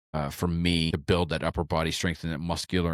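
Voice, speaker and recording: In a dry, close sound with no echo on a very clean recording with a silent background, a man speaks with a very deep, low pitch in a monotone, flat intonation. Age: 40s. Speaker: triathlon coach and endurance athlete. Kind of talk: casual solo podcast training recap. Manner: conversational with frequent fillers and restarts.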